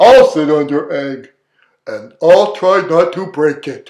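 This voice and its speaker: A man puts on a character voice and drags out his words at a very slow pace. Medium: read story. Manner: earnest, gentle.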